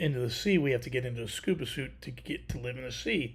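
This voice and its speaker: A man speaks at a moderate pace and medium pitch in a somewhat breathy voice. The recording is very clean with a silent background. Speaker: livestream host. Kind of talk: casual chat. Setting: live stream with chat.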